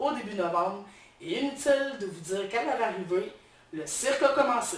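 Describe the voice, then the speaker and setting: The speech moves at a fairly slow pace with lively intonation. Audible room echo surrounds it. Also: woman. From Quebec, Beauce region. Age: 30s. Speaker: social worker, game show applicant. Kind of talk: audition video monologue. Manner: hesitant, many fillers.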